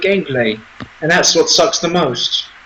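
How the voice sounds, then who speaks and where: A man with a high pitch speaks at a moderate pace against noticeable background noise. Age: 20s. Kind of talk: casual chat. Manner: halting.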